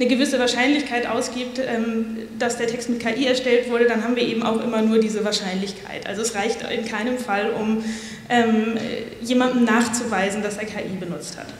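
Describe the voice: A woman speaks at a fairly quick pace and a fairly high pitch, with few pauses. Her intonation is fairly even, and audible room echo surrounds her.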